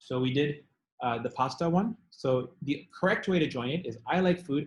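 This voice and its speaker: With lively intonation, this man's voice comes across somewhat breathy. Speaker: tutor teaching test prep class. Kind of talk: online class lecture. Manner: fast.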